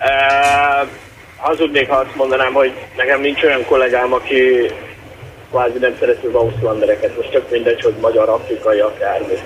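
At a moderate pace and with very even loudness, the speech comes with long, frequent pauses over noticeable background noise. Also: man. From Satu Mare region, Romania (Hungarian minority). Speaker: caller. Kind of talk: phone-in call. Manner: hesitant, many fillers.

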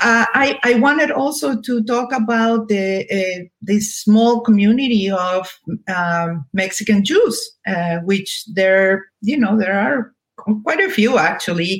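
Very slow, somewhat breathy speech with a Spanish accent. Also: woman, fairly high pitch for a woman, ordinary pitch variation. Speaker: novelist. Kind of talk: interview. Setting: video call. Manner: halting.

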